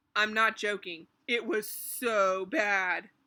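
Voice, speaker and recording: Putting on a character voice, a woman speaks very slowly at a medium pitch with ordinary pitch variation, recorded very cleanly over a silent background. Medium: read story.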